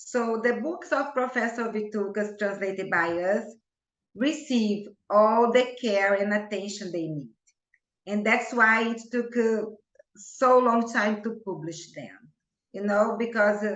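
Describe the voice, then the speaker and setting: In a Portuguese accent, a woman speaks at a fairly high pitch with ordinary pitch variation. Her fairly slow speech has audible room echo. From Brazil. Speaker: homeopath. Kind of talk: interview.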